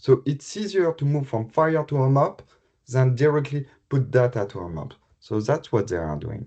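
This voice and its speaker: A man with a French accent speaks at medium pitch and a moderate pace, somewhat breathy, in a dark, mellow tone. His intonation is lively and his loudness swings widely. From France. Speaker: health IT specialist. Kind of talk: conference presentation. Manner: halting.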